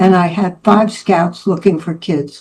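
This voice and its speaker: A woman speaks at medium pitch and a moderate pace. Her tone is dark and mellow. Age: 80s+. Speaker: speaker at public speaking club, photographer. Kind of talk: prepared speech.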